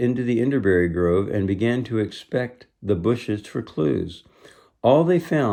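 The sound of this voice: The background is quiet. An unforced reading voice carries lively intonation.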